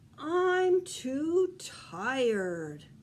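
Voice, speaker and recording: A woman performs a put-on character voice pitched high. Her pitch swings very widely. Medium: read story.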